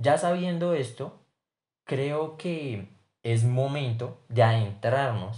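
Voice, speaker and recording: A man talks at a very slow pace with long, frequent pauses. His medium-pitched voice has a dark, mellow tone, is somewhat breathy and shows ordinary pitch variation. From Colombia, Bogotá. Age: 20s. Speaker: business student. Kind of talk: class assignment podcast presentation.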